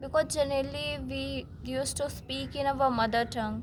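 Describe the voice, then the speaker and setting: A woman with an Indian accent speaks at a fairly slow pace. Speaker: self-improvement vlogger. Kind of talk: casual talk to camera. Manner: halting.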